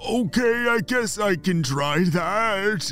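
A man performs a put-on character voice, high-pitched and fairly bright, with lively intonation at a slow pace. Faint music sits in the background.

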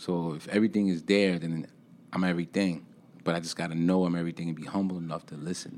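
A man's very deep, low voice at a very fast pace, in a New York accent. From Brooklyn, New York. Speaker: film festival founder. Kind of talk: interview. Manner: animated.

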